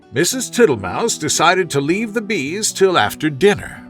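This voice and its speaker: A man talks at a fairly slow pace in a high pitch with very wide pitch swings. Music sounds in the background. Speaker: narrator. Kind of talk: sleep story. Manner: soothing, slow.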